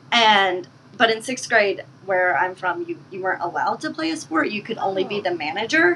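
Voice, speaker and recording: Noticeable background noise surrounds a woman's voice. Her pitch swings very widely. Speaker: marathon runner and PhD student. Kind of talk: casual interview. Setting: studio, in person.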